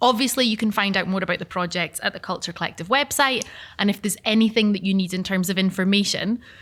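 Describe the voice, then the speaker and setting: In a very clean recording with a silent background, a woman talks at a very fast pace with a southern Scottish accent. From southern Scotland, Gretna. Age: 30s. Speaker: event facilitator. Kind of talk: panel moderation. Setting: live event with audience.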